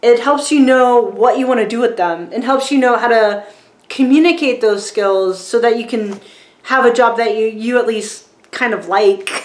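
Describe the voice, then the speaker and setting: A woman with a fairly high pitch speaks at a moderate pace, her pitch varying in an ordinary way. There is audible room echo and noticeable background noise. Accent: American. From rural Virginia, US South. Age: 40s. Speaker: filmmaker and book reviewer. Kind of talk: casual vlog book review. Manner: casual, many fillers.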